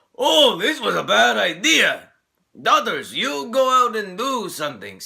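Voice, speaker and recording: In a put-on character voice, a man speaks gruffly at an extremely high pitch and a fairly slow pace. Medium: solo performance. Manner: brash, gruff.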